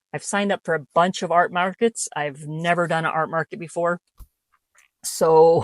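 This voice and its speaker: With fairly even intonation, an ordinary speaking voice moves at a moderate pace in a dry, close sound with no echo. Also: woman, fairly low pitch for a woman. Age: 50s. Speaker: artist. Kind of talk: casual talk to camera.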